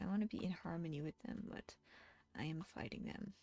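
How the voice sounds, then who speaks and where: A woman speaks at a moderate pace with a Dutch accent and lively intonation. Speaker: digital artist streamer. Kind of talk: casual live stream chat while drawing. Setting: live art stream. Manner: halting.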